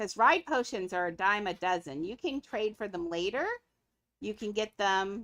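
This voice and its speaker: An unremarkable speaking voice from a woman, medium in pitch and fairly slow, with lively intonation on a very clean recording against a silent background. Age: 50s. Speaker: gaming livestreamer. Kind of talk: casual livestream chat. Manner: rambling, relaxed.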